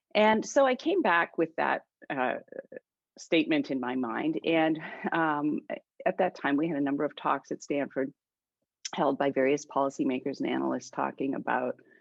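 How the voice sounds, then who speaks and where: Speaking with a slight Canadian accent at a moderate pace, a woman leaves long, frequent pauses. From Canada. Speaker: author and political scientist. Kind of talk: book discussion interview. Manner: halting, many fillers.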